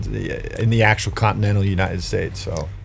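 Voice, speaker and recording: This man talks fairly quickly. His words carry audible room echo. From Hawaii, Big Island, much of youth abroad. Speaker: county sheriff and author. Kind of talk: podcast interview.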